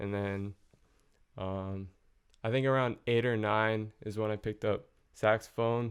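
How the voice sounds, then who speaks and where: The speech moves at a fairly slow pace in a monotone, flat intonation, broken by long, frequent pauses. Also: man, fairly low pitch for a man. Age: young. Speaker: music producer. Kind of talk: casual chat.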